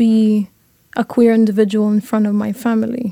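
A woman with a Lebanese accent speaks at a fairly slow pace in a dark, mellow tone with monotone, flat intonation. The sound is dry and close, with no echo. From Lebanon. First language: Arabic. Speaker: university student. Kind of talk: panel discussion.

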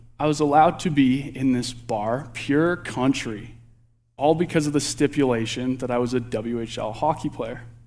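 A man with a plain, everyday voice talks at a moderate pace and a fairly high pitch in a very clean recording over a silent background. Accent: Canadian. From Alberta, Canada. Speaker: candidate youth pastor. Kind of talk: sermon. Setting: church.

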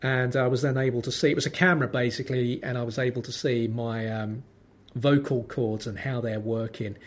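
A man talks in a London accent at a fairly quick pace. His pitch is medium and his intonation fairly even. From London, Lambeth. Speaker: podcast host. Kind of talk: solo monologue podcast. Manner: tense, holds back chest voice; wry, dry delivery.

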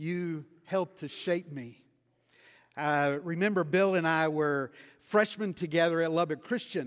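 The speaker has a Texan accent and ordinary pitch variation. The pace is fairly slow, on a very clean recording with a silent background. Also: man, high pitch for a man. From West Texas. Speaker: missionary preacher. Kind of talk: sermon. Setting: church.

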